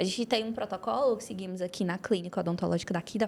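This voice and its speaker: Very fast speech from a woman, medium pitch with ordinary variation. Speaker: orthodontist and dental professor. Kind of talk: academic podcast discussion.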